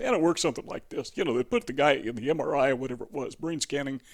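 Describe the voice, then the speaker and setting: A man's voice in a very clean recording, silent background. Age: 60s. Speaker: self-help video presenter. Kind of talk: informal talk to camera. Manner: conversational, with fillers and restarts.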